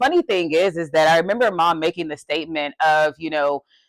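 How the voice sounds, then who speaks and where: On a very clean recording with a silent background, a woman talks at a moderate pace with a dry, close sound and no echo. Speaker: podcast co-host. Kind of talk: casual chat. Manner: passionate.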